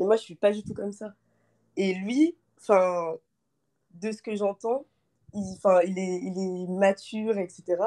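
A woman at a medium pitch speaks at a very slow pace with long, frequent pauses, her tone dark and mellow and her intonation fairly even. Her loudness swings widely, and the sound is dry and close with no echo. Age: 20s. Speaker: student caller seeking dating advice. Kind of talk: live call-in consultation. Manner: halting, many fillers.

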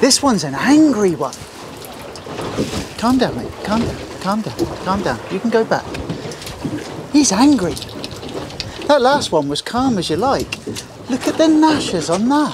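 Against faint background noise, a man speaks fairly slowly at a high pitch, with big pitch swings and long, frequent pauses.

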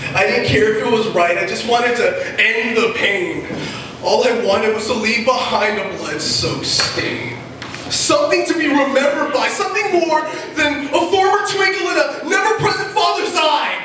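Amid audible room echo and light background noise, a man with an extremely high pitch speaks in a raised, projected voice at a moderate pace with very wide pitch swings. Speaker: slam poet. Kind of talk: slam poetry performance, rhythmic rhymed spoken word to a live audience. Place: stage.

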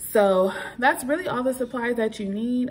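A woman talks with ordinary pitch variation, noticeable noise in the background. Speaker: home vlogger. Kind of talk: tutorial. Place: kitchen. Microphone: phone near.

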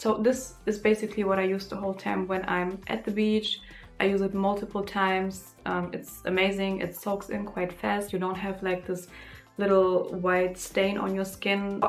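A woman's flat, monotone speech at a moderate pace over faint background music. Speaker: beauty vlogger. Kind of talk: casual vlog chat, product review. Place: home room.

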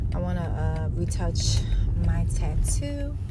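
Loud background noise runs under a woman's voice. The recording is dry, without any echo. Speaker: vlogger. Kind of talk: casual vlog chat. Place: car. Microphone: phone near.

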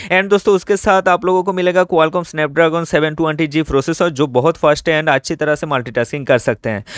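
A man talks at a fairly quick pace. His pitch is fairly high.

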